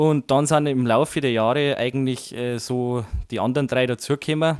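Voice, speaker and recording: A man talks in a Bavarian accent with fairly even intonation. The recording is very clean, with a silent background. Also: dry, close sound with no echo. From Bavaria, Chiemgau. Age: 20s. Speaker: musician. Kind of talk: interview.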